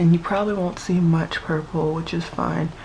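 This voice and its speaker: Flat, monotone intonation from a woman over noticeable background noise. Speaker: beauty vlogger. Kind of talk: makeup tutorial talk to camera. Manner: dry, low-key.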